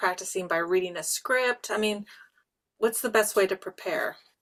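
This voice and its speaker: A woman speaks with a fairly high pitch and ordinary pitch variation. It is a normal speaking voice. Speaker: writing show co-host. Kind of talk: casual chat.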